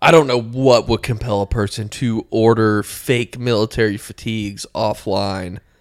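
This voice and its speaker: In a very clean recording with a silent background, a man with a plain, everyday voice and medium pitch talks at a moderate pace with fairly even intonation and hardly any pauses. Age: 20s. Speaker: comedy podcast co-host. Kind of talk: casual chat.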